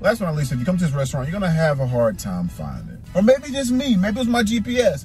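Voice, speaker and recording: With faint music in the background, a man's voice comes across dry, with no echo. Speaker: food reviewer vlogger. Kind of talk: casual vlog chat. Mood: joking, mildly complaining. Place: car. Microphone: phone near.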